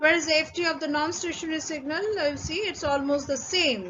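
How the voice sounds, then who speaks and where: Her pitch is high and her pace fairly quick. The woman is heard over noticeable background noise. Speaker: conference paper presenter. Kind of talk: technical presentation. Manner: halting, many fillers.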